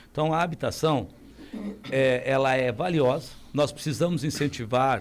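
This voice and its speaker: A man with an ordinary speaking voice talks at a fairly high pitch with ordinary pitch variation. The recording is very clean, with a silent background. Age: 60s. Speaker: mayoral candidate. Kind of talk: radio interview.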